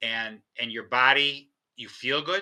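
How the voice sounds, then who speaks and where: In a very clean recording with a silent background, a man speaks at a fairly high pitch with a bright, sharp tone. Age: 60s. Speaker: entrepreneur, speaker and author. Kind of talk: interview.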